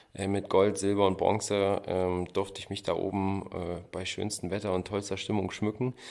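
On a very clean recording with a silent background, a man speaks at a moderate pace in a fairly low, monotone, flat voice. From Thuringia, Gotha district. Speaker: luge athlete. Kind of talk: interview.

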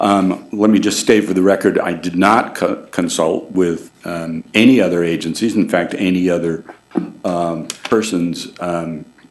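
With a very deep, low voice, a man speaks at a fairly slow pace and keeps his intonation fairly even. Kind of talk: formal meeting statement. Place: hall. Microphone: podium.

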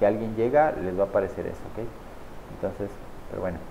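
A man speaking at a fast pace, fairly low-pitched with vocal fry and ordinary pitch variation.

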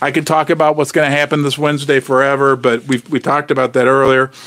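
The setting behind is quiet. A man does the talking. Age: 50s. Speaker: precious metals youtuber. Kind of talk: live stream chat reading viewer comments. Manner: animated. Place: shop. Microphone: studio mic.

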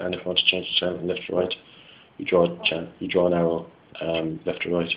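A man with a West Clare Irish accent speaks in a very deep, low pitch. His intonation is monotone and flat, with light background noise behind him. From West Clare, Ireland. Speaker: engineering student. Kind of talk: product demo talk to camera. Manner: casual, hesitant. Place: home room. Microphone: phone near.

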